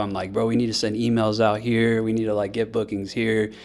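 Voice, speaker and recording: This man's voice sits fairly low. Nothing can be heard behind it on the very clean recording. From US South, Biloxi, Mississippi. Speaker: DJ and music producer. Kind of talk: casual podcast interview. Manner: casual, filler-heavy (like, uh).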